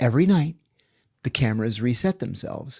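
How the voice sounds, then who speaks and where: A man is speaking. The recording is very clean and the background silent. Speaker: former intelligence officer recounting his career. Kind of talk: casual interview storytelling, matter-of-fact.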